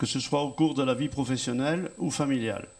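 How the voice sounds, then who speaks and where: A man at a medium pitch. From Brittany, France (Fougères). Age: 70s. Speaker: retired farmer and teacher. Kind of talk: testimony.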